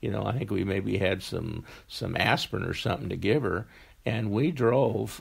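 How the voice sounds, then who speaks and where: A man speaks at a fairly low pitch with vocal fry. His intonation is lively and his pace moderate. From Wyoming. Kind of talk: interview answer.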